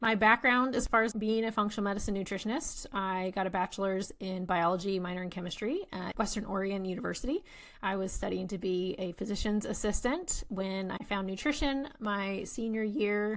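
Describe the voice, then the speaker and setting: Recorded very cleanly against a silent background, a woman speaks at a fairly quick pace with hardly any pauses. Her pitch is medium, with ordinary pitch variation. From England. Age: 30s. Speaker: nutritionist and podcast host. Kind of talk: podcast monologue.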